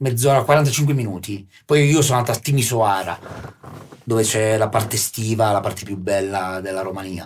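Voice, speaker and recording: Speaking at a moderate pace, the man has an ordinary speaking voice with ordinary pitch variation. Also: fairly low pitch for a man. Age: 40s. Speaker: guest artist / local personality. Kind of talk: casual chat. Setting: studio.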